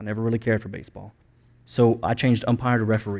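Over a quiet background, a man with a fairly low voice talks at a very fast pace. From US. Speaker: pastor. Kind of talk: sermon.

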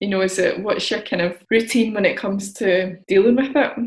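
At a fairly quick pace, a woman talks in a normal speaking voice at medium pitch with fairly even intonation. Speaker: podcast host. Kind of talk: casual interview chat.

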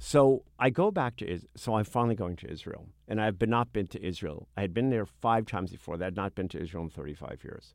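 An ordinary speaking voice with an American accent moves at a fairly quick pace with hardly any pauses and big swings in loudness, on a very clean recording with a silent background. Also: man, fairly low pitch for a man, lively intonation. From US Northeast (Brooklyn, New York). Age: 60s. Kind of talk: interview conversation.

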